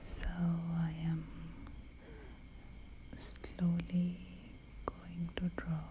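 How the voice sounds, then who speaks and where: The voice is soft-spoken. Light background noise can be heard. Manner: soft-spoken, slow hushed voice.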